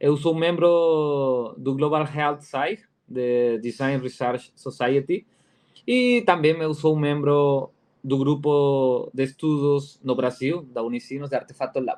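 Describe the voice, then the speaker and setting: A man with a fairly high voice and a Spanish accent, at a very slow pace. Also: ordinary pitch variation. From Peru. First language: Spanish (speaking Portuguese). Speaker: design professor and researcher. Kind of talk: conference talk. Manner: halting, many fillers and repetitions.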